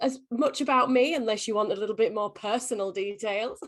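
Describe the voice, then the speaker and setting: The speaker has an English accent. The intonation is lively. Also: woman. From England. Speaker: company executive. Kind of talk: interview. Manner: halting.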